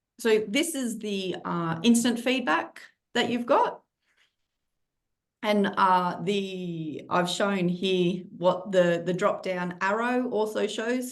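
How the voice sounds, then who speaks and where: A very slow pace with ordinary pitch variation and audible room echo. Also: woman. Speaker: criminology lecturer. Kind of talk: webinar presentation.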